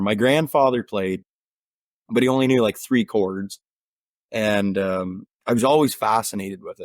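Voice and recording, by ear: A man with an eastern Ontario accent speaks at a moderate pace, with a fairly low pitch, ordinary pitch variation and a slightly mellow tone. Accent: rural eastern Ontario Canadian twang.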